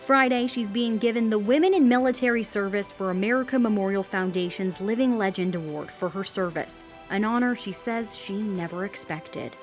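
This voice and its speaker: A woman speaks at a fairly quick pace. Background music can be heard. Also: medium pitch for a woman, lively intonation. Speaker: news reporter. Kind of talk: TV news report.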